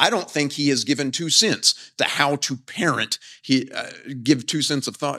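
Here a man speaks at a fairly high pitch with ordinary pitch variation and a bright, sharp tone. The recording is very clean, with a silent background. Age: 40s. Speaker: professor and preacher. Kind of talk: sermon. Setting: chapel with live audience.

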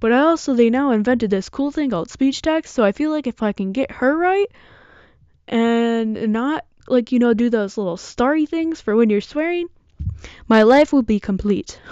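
At a moderate pace, a woman with a Midwestern American accent speaks in a high pitch. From Michigan, US. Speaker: podcaster. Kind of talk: casual monologue.

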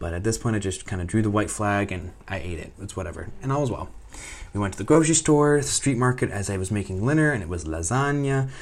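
A man talks at a very fast pace with lively intonation. His fairly low voice is somewhat breathy. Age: 20s. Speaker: vlogger studying abroad. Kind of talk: casual monologue vlog. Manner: animated.

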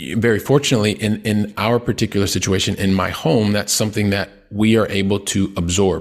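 A man with a Midwestern American accent speaks at a fairly low pitch and a fairly quick pace. His loudness stays very even, his intonation fairly even, with hardly any pauses. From US Midwest, Columbus, Ohio. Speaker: real estate investor. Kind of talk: interview. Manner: halting, many fillers.

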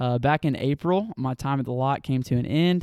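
In a Southern US accent, the voice has a dark, mellow tone and fairly even intonation at a moderate pace, recorded very cleanly with a silent background and a dry, close sound with no echo. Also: man. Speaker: nonprofit staff member. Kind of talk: casual interview.

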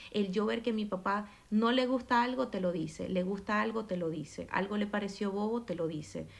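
A woman with an unremarkable speaking voice talks at a moderate pace with hardly any pauses. Her pitch is medium, with ordinary pitch variation. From Maracaibo, Venezuela. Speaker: entrepreneur. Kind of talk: casual chat.

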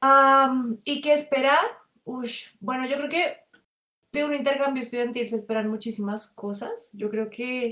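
A woman's raised, projected voice, high in pitch, with ordinary pitch variation at a fairly slow pace. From Colombia. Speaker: exchange student. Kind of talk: casual chat.

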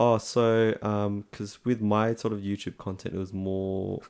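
A man talks in a fairly low voice with an Australian accent. His delivery is flat and monotone, on a very clean recording with a silent background. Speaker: podcast co-host. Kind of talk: casual chat. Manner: casual, friendly.

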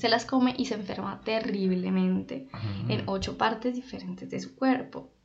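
Audible room echo hangs around the voice. The woman talks at a fairly slow pace. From Colombia, Popayán (Cauca). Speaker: podcast co-host, journalist. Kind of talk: casual chat. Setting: studio.

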